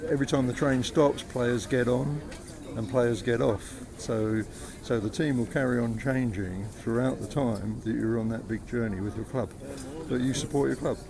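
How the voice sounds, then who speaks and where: Noticeable background noise behind a man of medium pitch, talking at a moderate pace with ordinary pitch variation. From London (Islington). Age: 60s. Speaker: football fan. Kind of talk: street interview. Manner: halting.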